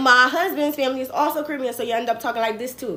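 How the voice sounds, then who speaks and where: An animated voice with an American accent and ordinary pitch variation comes through noticeable background noise. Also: woman. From New Jersey, US. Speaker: political commentator livestreamer. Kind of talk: casual political commentary livestream. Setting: livestream.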